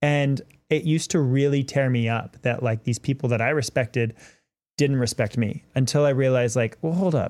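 A man with a plain, everyday voice, medium pitch and ordinary pitch variation, at a moderate pace and very even loudness, in a very clean recording with a silent background. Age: 30s. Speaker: podcast host and Star Wars cosplayer. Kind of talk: casual chat.

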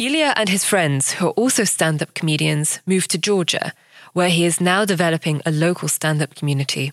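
A woman uses a plain, everyday voice at a fairly low pitch with ordinary pitch variation. She talks at a fairly quick pace with very even loudness, in a dry, close sound with no echo. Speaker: podcast host. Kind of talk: scripted narration.

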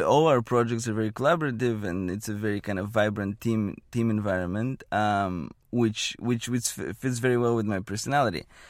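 A man speaks with a Bulgarian accent. The recording is very clean, with a silent background. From Bulgaria, small town. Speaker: economist, postdoctoral fellow. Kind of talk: interview. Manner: halting.

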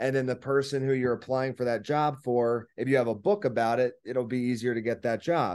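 Against a quiet background, a man with an ordinary speaking voice talks at a fairly quick pace and medium pitch with ordinary pitch variation. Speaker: author and book publisher. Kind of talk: interview.

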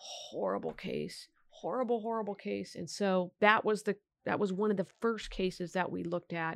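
Against a quiet background, a woman with a Californian accent talks at a fairly quick pace with fairly even intonation. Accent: General American (Californian). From Sacramento, California. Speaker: district attorney. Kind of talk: interview.

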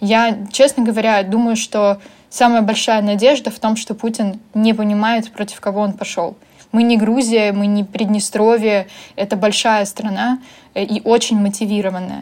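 Monotone, flat intonation from a woman at a moderate pace, on a very clean recording with a silent background. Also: fairly high pitch for a woman. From Ukraine. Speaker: magazine publisher. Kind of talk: casual chat.

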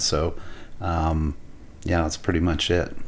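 A man with a Canadian accent speaks in a very deep, low monotone, with audible room echo and noticeable background noise. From Alberta, Canada. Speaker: architect and restaurateur. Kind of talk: casual chat. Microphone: too far from mic.

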